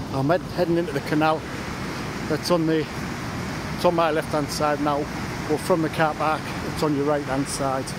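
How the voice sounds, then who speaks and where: Over loud background noise, a man talks at a moderate pace with long, frequent pauses, the sound dry with no echo. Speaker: paddle boarder vlogger. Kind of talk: casual vlog chat. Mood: cheerful, relaxed. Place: waterside. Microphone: phone near.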